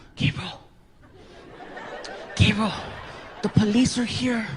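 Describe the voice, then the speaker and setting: In a put-on character voice, the speaker talks at a fairly high pitch and a fairly slow pace with monotone, flat intonation. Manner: whispering.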